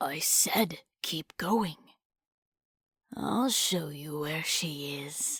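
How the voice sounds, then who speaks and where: A woman puts on a raspy character voice, very deep and low in pitch, speaking at a very slow pace with long, frequent pauses. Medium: read story. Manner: curt, menacing.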